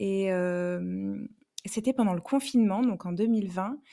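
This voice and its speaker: A woman's dark, mellow voice at a medium pitch and a very slow pace. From southwestern France, Bordeaux. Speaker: romance novelist and hairdresser. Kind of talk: interview. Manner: hesitant, many fillers.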